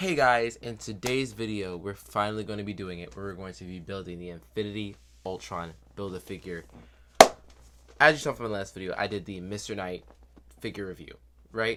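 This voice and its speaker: A man with a fairly low pitch speaks in an animated tone at a fairly quick pace, broken by long, frequent pauses. His loudness swings widely, his pitch varies in an ordinary way, and background noise is noticeable. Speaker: toy review youtuber. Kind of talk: casual video review. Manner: stutters at times.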